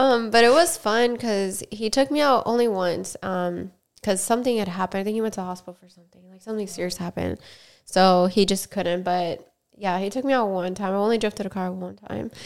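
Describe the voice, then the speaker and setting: A woman with an American accent speaks at a fairly quick pace in a medium pitch, with ordinary pitch variation and big swings in loudness. It is a plain, everyday voice, on a very clean recording with a silent background. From Miami, Florida. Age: 20s. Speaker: podcast host, stunt rider and dancer. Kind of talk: casual chat. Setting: recorded on camera.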